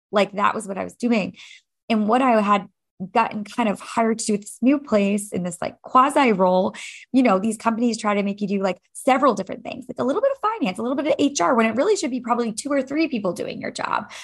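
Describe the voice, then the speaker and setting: A fairly high-pitched, somewhat breathy woman at a very fast pace, with ordinary pitch variation. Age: 30s. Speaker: fitness instructor and coach. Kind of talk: casual chat.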